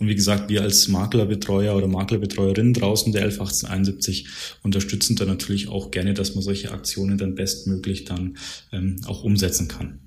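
Audible room echo around a moderate pace and fairly even intonation. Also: man, fairly low pitch for a man. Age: 30s. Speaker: insurance broker account manager. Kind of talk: podcast interview.

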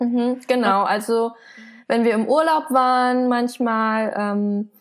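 This very clean recording captures a woman against a silent background. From Germany. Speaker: illustrator and comic artist. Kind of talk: interview. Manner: soft-spoken.

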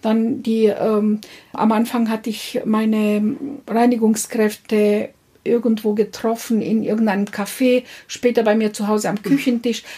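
A woman speaks at a fairly slow pace with a dark, mellow tone. Her intonation is monotone and flat. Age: 50s. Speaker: business founder. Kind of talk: interview. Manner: halting.

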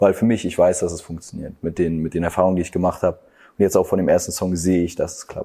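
A man at a very fast pace with hardly any pauses and big swings in loudness. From Germany, Stralsund. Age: 20s. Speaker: singer. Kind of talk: casual chat.

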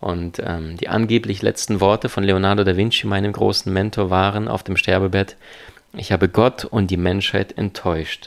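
A man talks with a non-native accent at a moderate pace. His pitch is very deep and low. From abroad, came to Germany at twelve. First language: not German (speaking German). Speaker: seminar speaker and life coach. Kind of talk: interview. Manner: fluent with frequent fillers.

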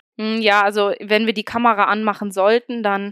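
A woman has a normal speaking voice at medium pitch with fairly even intonation. The sound is dry and close with no echo, a very clean recording with a silent background. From Germany, Oberbergisches Land (North Rhine-Westphalia). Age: 20s. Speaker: student teacher and young mother. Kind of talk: podcast interview.

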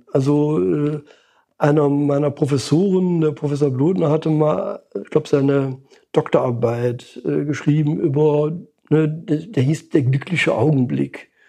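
A dark, mellow voice in a Lower Rhine accent, fairly slow with ordinary pitch variation, over a quiet background. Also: man. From Lower Rhine, western Germany. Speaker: psychologist and market researcher. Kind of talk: interview. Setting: in person at his institute in Cologne. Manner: intonation falling at the end of sentences.

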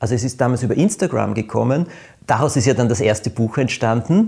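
A somewhat breathy man at a medium pitch speaks at a fairly quick pace, with a dark, mellow tone and lively intonation. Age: 50s. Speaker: podcast host, author. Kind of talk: casual chat.

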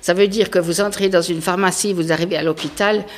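This woman has a fairly low pitch and a moderate pace. Noticeable background noise can be heard. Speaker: local resident. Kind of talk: panel discussion. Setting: town hall meeting room.

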